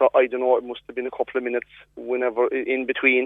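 This man speaks with a rural Cork accent. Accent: rural Cork Irish. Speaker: farmer. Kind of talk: radio interview. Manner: halting.

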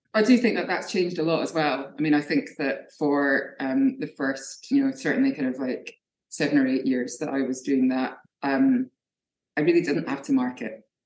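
At a moderate pace, a woman speaks with a Scottish accent. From Scotland. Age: 40s. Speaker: artist. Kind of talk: interview.

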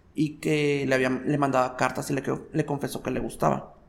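Moderately paced, a man's unremarkable speaking voice sits at a fairly high pitch. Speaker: drag performer / impersonator. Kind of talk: casual interview. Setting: recorded indoors, unusual location.

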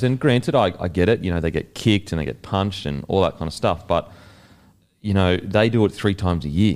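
A man with an Australian accent, very deep and low in pitch, at a fairly quick pace with ordinary pitch variation. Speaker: podcast interviewer, former athlete. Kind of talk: casual interview chat.

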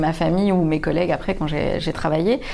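A woman speaks at a fairly quick pace. Noticeable background noise is present. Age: 30s. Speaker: comedian. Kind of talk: casual interview chat.

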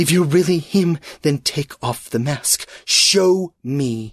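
A put-on character voice speaks at a very slow pace, with a dry, close sound and no echo. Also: man, fairly high pitch for a man. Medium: read story.

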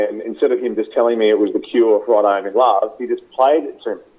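Music plays in the background as a man with an Australian accent talks at a very fast pace. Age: 30s. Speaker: radio host. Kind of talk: interview.

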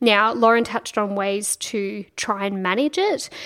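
A woman with an Australian accent, fairly high in pitch, with ordinary pitch variation and a fairly slow pace. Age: 30s. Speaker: podcast host. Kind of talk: scripted narration; casual chat. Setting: guest's kitchen at home.

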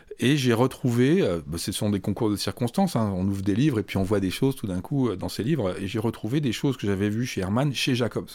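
At a fairly quick pace with hardly any pauses, a man speaks in medium pitch with ordinary pitch variation. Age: 60s. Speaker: comics festival director and essayist. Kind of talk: interview. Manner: halting.

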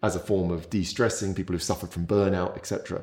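A man speaks at a very deep, low pitch with a dark, mellow tone. The recording is very clean, with a silent background. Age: 40s. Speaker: physiologist. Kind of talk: casual interview.

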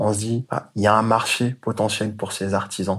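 A man talks at a moderate pace and medium pitch. He has a plain, everyday voice. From Côte d'Ivoire. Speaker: sneaker entrepreneur. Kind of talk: interview.

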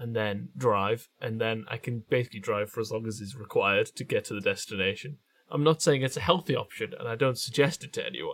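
A man with a Geordie accent talks at a fairly quick pace with hardly any pauses, his loudness swinging widely. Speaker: podcast co-host. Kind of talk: casual comedy chat.

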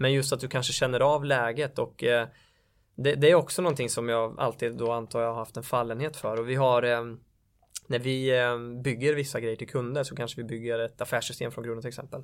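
Recorded very cleanly against a silent background, a man talks at a fairly quick pace. His medium pitch stays monotone and flat. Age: 30s. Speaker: sales entrepreneur. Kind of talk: interview.

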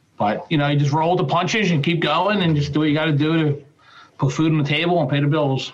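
A man with an American accent at a very fast pace, fairly high in pitch with fairly even intonation, over noticeable background noise. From Philadelphia, US. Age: 40s. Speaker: glazier and business owner. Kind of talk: interview. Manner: casual.

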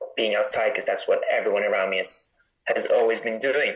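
A man with a Norwegian accent. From northern Norway (Tromsø). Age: 20s. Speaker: mountain runner. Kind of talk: interview.

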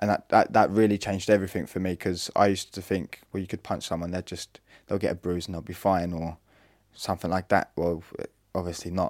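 A man with a Norfolk accent talks at a fairly quick pace in a very deep, low pitch with monotone, flat intonation. The recording is very clean, with a silent background. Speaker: brother and carer of brain injury survivor. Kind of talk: interview.

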